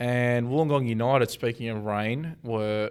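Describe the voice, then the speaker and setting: Speaking with an Australian accent, a man has a medium pitch. His intonation is fairly even. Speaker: football podcast host. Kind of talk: casual chat.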